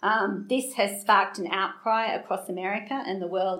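Here a woman speaks at a medium pitch. She has an Australian accent. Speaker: guest preacher, anti-trafficking charity founder. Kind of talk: sermon. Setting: church room with small audience. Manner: halting, many fillers.

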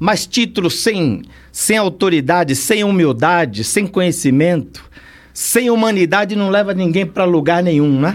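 The delivery moves at a fairly slow pace, with lively intonation and very even loudness throughout. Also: man, high pitch for a man. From São Paulo, East Zone (Bahian family). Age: 60s. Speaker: criminal lawyer and pastor. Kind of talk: casual chat. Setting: studio.

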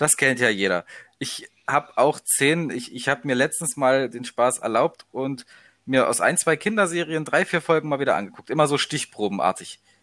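Pitched fairly high, a man speaks with a bright, sharp tone and lively intonation in a very clean recording with a silent background. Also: moderate pace. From eastern Germany, Leipzig area. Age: 20s. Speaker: university student. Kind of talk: casual chat.

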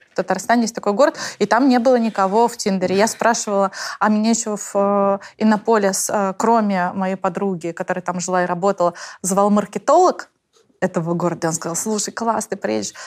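Medium pitch and a normal speaking voice from a woman, fairly even intonation, fairly quick pace. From Tatarstan, Russia. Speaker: author of the book. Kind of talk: casual interview conversation. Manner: thoughtful, with many filler sounds.

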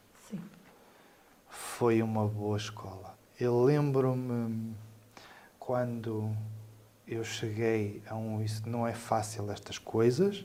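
Pausing long and often, a man speaks at a very slow pace and medium pitch with fairly even intonation. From northern Portugal (Trás-os-Montes, raised in Lamego). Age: 40s. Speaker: civil protection coordinator. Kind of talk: panel discussion. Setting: studio. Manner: halting, with many fillers and repetitions.

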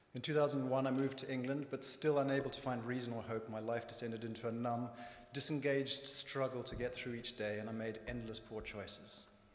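A man with a Zimbabwean accent, medium pitch and fairly even intonation, fairly quick, over noticeable background noise. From Zimbabwe, rural north. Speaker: church member. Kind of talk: testimony. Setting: church.

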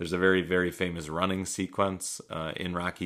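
Recorded very cleanly against a silent background, a man with a gravelly, very deep, low voice and a bright, sharp tone speaks at a moderate pace in a monotone, flat intonation. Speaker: podcast host and movie reviewer. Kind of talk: solo movie review monologue. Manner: casual with frequent fillers.

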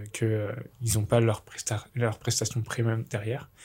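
A man speaks at a moderate pace and medium pitch, sounding somewhat breathy on a very clean recording with a silent background. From France, Bourg-en-Bresse area (Ain). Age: 20s. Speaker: student apprentice in sports marketing. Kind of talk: casual chat.

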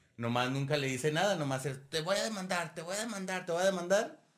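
The voice has a bright, sharp tone and lively intonation. It carries a Mexican accent. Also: man. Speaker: history podcast host. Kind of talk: casual chat.

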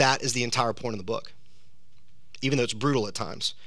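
With a Southern US accent, a man speaks in a bright, sharp tone against audible room echo. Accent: Southern US (Georgia). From US South, South Georgia. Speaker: pastor. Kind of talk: sermon. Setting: church.

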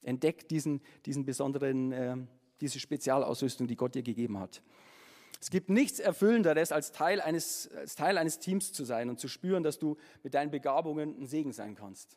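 A man with a fairly high voice speaks at a moderate pace with lively intonation. His loudness swings widely. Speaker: preacher; musician and former pastor. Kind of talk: sermon. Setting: church with congregation. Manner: casual, animated, chatty; warm, humorous, conversational.

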